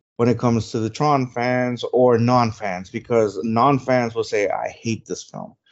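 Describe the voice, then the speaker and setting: A man talks in a Spanish accent. His pitch is medium. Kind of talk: casual chat. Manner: animated.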